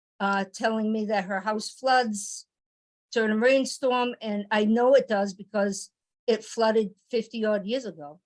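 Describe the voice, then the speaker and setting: The woman speaks at a fairly slow pace with an American accent. Her pitch is fairly high and her intonation fairly even. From Gloucester, Massachusetts. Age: 60s. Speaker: resident speaking at public hearing. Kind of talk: public comment at zoning board meeting. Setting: municipal board meeting. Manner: halting.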